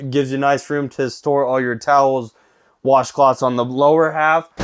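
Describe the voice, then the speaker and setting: A man speaks in an ordinary speaking voice at a moderate pace, his pitch fairly high and his pitch variation ordinary, over a quiet background. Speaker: RV salesperson giving a tour. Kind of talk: product walkthrough tour. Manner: casual, upbeat.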